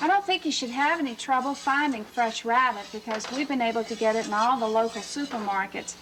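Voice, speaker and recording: Against noticeable background noise, a woman with a South Louisiana accent talks at a fairly quick pace in a high pitch with ordinary pitch variation. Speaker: chef. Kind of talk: cooking show instruction.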